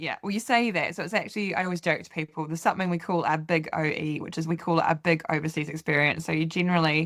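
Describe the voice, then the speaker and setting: Speaking with a New Zealand accent, a woman goes at a very fast pace with hardly any pauses, at a fairly low pitch and with ordinary pitch variation. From New Zealand, Canterbury. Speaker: farmer. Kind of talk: interview. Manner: hesitant, many fillers.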